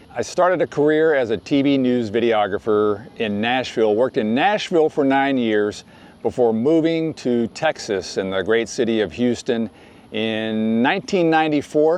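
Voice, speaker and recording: With an ordinary speaking voice, a man at medium pitch talks at a moderate pace, his intonation lively and his loudness very even. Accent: American. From US South. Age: 60s. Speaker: YouTuber. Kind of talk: vlog. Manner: casual.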